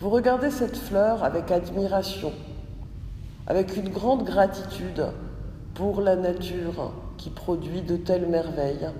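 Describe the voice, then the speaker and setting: The speech moves at a fairly slow pace with long, frequent pauses and a calm, soothing tone over noticeable background noise. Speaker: yoga nidra teacher. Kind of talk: guided meditation (yoga nidra). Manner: slow, calm, soothing; gently paced, repeating phrases with long pauses.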